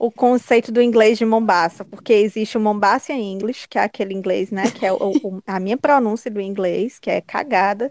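In a dry, close sound with no echo, a woman with a Cearense accent speaks at a fairly high pitch and a moderate pace, with ordinary pitch variation and hardly any pauses. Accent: Cearense Northeastern Brazilian Portuguese. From Ceará, Brazil (Fortaleza). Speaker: podcast guest. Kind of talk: casual chat.

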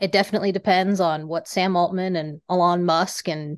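In an American accent, the speaker has an unremarkable speaking voice with ordinary pitch variation, moving at a moderate pace against a quiet background. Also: woman. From US Rocky Mountain region. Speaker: venture investor. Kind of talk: casual chat.

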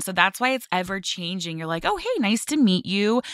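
A woman with a Californian accent speaks at a medium pitch, her bubbly tone carried by lively intonation. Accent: Californian American. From Los Angeles (Westlake Village). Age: 20s. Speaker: model. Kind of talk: interview.

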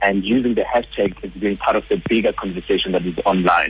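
Noticeable background noise sits behind a man's voice. He talks at a fairly quick pace. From South Africa, Johannesburg. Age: 20s. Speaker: social media strategist. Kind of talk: radio interview. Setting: phone call.

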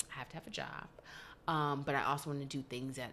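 A woman speaks at a fairly quick pace with a very deep, low pitch and vocal fry. Her tone is bright and sharp, her intonation fairly even. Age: 20s. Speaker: social media creator. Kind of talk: casual chat.

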